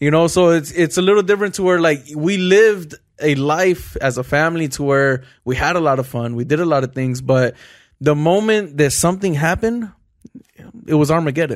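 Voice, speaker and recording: With a plain, everyday voice, a man talks at a fairly quick pace in a fairly high pitch with ordinary pitch variation, recorded very cleanly against a silent background. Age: 20s. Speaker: entrepreneur and podcast co-host. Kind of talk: casual chat.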